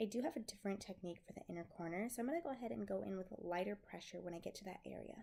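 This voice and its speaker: A woman talks at a very fast pace with lively intonation. Her dark, mellow tone carries vocal fry. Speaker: makeup tutorial creator. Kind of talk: makeup tutorial voice-over.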